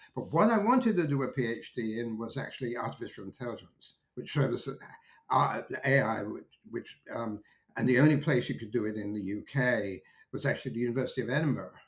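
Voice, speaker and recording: In an American accent, a man talks at a fairly quick pace and a medium pitch with ordinary pitch variation. His voice is somewhat breathy. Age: 70s. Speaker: technology market analyst. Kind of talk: interview conversation. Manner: hesitant, many fillers and restarts.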